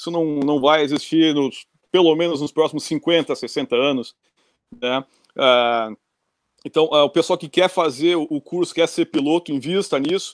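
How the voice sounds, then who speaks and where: This man has a plain, everyday voice, pitched fairly high, moving at a fairly slow pace with ordinary pitch variation. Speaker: pilot, flight instructor in the US. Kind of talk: casual chat. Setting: video call.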